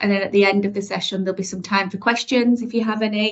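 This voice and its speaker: A woman's medium-pitched voice with flat, monotone intonation. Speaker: mental health service manager. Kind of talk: workshop presentation. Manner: fast; hesitant with frequent fillers.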